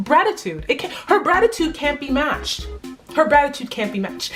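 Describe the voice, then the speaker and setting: Over music in the background, a woman speaks in an animated tone with very wide pitch swings. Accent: American. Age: young. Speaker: student. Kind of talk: casual talk to camera. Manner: animated, emphatic.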